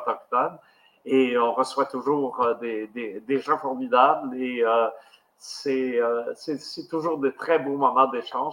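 A man's fairly high voice comes at a very slow pace. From Quebec, Abitibi. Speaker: podcast host. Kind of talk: interview. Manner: halting.

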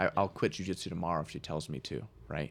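Vocal fry runs through this fairly quick delivery, with ordinary pitch variation on a very clean recording against a silent background. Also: man. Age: 20s. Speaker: jiu-jitsu instructor. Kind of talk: casual chat.

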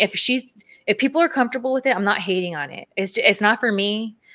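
A woman's fairly high voice, bright and sharp in tone, with lively intonation, big jumps in loudness and a fairly quick pace. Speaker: podcast co-host, former wrestler and content creator. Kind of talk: casual chat. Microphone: new audio equipment, first time using it.

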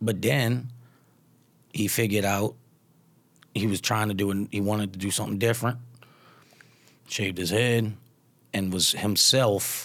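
At a moderate pace, a man with a Louisiana accent talks at a fairly low pitch. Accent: Southern US Louisiana twang. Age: 30s. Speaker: stand-up comedian. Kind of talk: casual chat. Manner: laid-back, casual.

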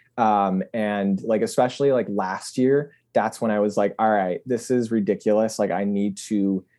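A man's dark, mellow voice with fairly even intonation, over a quiet background. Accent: American. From West Michigan. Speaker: wedding photographer. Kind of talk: casual interview chat.

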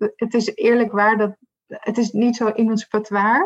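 A woman's normal speaking voice, fairly high in pitch, at a fairly slow pace. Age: 30s. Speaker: diversity and inclusion consultant. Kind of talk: interview.

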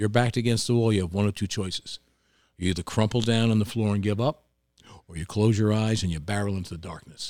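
Speaking in a New York accent at a very fast pace, a man has a fairly low pitch and fairly even intonation. His loudness swings widely, in a very clean recording with a silent background. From New York, Hudson Valley (Tarrytown). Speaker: restaurant owner. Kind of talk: casual chat.

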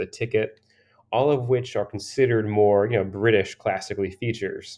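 With an American accent, a man speaks in an unremarkable speaking voice, fairly low-pitched and fairly even in intonation, at a moderate pace. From Pennsylvania, small former coal mining town. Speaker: menswear and drinks writer. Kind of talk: casual interview.

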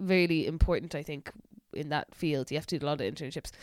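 A woman's fairly low voice comes through in a very clean recording with a silent background. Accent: Irish. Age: 20s. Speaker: podcast co-host. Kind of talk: casual chat.

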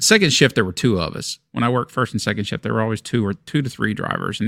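This man talks at a fairly quick pace in a fairly low pitch with vocal fry, on a very clean recording with a silent background. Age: 50s. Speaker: podcast co-host. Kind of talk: casual chat. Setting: home studio.

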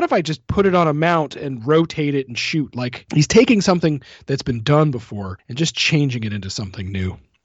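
Here a man talks at a fairly quick pace. His fairly high pitch shows very wide swings. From rural Canada. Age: 30s. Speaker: podcast host. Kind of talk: casual chat.

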